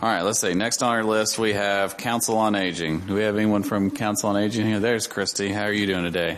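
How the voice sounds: The tone is fairly bright, the pace fairly quick and the intonation fairly even. Faint background noise sits underneath. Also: man, fairly low pitch for a man.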